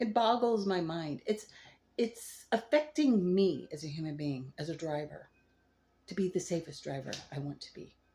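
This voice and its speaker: Here is a woman speaking. Her voice is somewhat breathy. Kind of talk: casual talk to camera.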